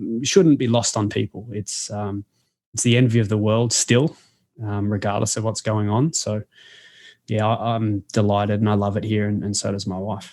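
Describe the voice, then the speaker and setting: A man with an Australian accent, fairly low in pitch, at a moderate pace with fairly even intonation, against a quiet background. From Australia, Melbourne. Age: 30s. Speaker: sports coach and author. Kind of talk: interview conversation. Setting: podcast.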